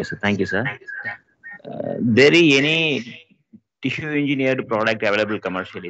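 Talking at a fairly quick pace with lively intonation and big swings in loudness, a man comes through with a dry sound and no echo. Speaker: class moderator. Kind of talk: Q&A; interview questions in webinar Q&A. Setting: video call. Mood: polite, respectful. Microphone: echo on line; video call.

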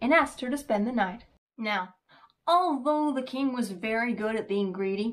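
Someone reads aloud in a plain way. Behind the reading, the background is quiet.

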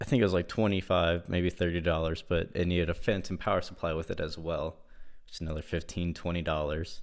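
Pitch varies in an ordinary way, and the background stays quiet. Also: man. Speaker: product reviewer. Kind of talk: casual review chat. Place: home room.

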